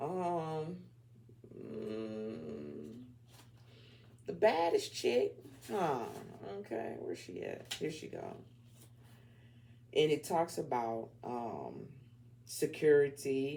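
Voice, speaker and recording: This man has an American accent and a very slow pace with long, frequent pauses. His loudness swings widely. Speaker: tarot reader. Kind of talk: tarot reading. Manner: casual, animated.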